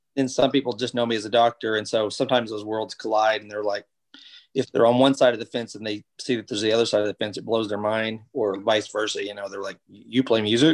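This man talks at a very fast pace in a monotone, flat delivery, his loudness swinging widely. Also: medium pitch for a man, dry, close sound with no echo. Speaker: doctor and musician. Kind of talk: casual interview chat.

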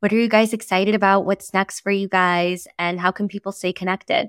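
A woman's enthusiastic, medium-pitched voice in a very clean recording with a silent background and a dry, close sound with no echo. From El Salvador. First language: Spanish. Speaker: podcast host. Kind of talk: interview.

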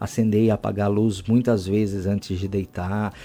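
A man's fairly low voice, dark and mellow in tone, at a moderate pace. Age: 30s. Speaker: biomedical professor and author. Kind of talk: interview.

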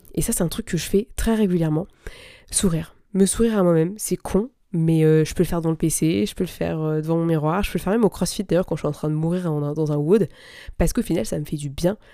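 On a very clean recording with a silent background, a woman talks at a very fast pace in a dark, mellow tone, fairly low in pitch with ordinary pitch variation. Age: 20s. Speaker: business coach and podcast host. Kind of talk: solo podcast monologue. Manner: casual, conversational with fillers.

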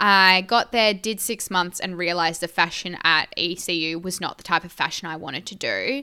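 Speaking with an Australian accent, a woman with a bright, sharp tone and medium pitch talks at a moderate pace with hardly any pauses, ordinary pitch variation, and big swings in loudness in a very clean recording with a silent background. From Esperance, Western Australia. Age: young. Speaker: podcast co-host, agriculture communicator. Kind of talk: casual chat.

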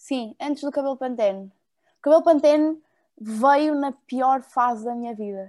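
Against a quiet background, a woman talks at a fairly slow pace with a high pitch. Her pitch variation is ordinary, but her loudness swings widely. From Porto, northern Portugal. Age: 20s. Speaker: fashion model. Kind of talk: casual interview.

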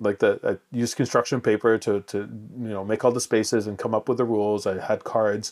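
In a Canadian accent, a man talks at a fairly quick pace with hardly any pauses, his medium-pitched voice flat and monotone on a very clean recording with a silent background and a dry, close sound with no echo. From Montreal, Quebec. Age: 40s. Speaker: video game designer. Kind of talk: interview. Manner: halting.

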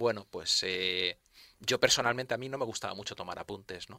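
A man speaks at a very fast pace in a bright, sharp tone. His pitch varies in an ordinary way. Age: 50s. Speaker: university professor. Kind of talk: radio interview. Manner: halting.

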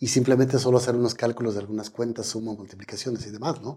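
A man speaks in a dark, mellow tone. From Mexico, Michoacán. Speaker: astrophysicist. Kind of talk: interview. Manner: halting, with frequent fillers.

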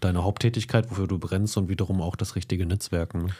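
A man talks at a very fast pace with a fairly low pitch and a dark, mellow, somewhat breathy tone. The recording is very clean, with a silent background. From Lower Saxony, Germany. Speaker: podcast co-host. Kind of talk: casual interview.

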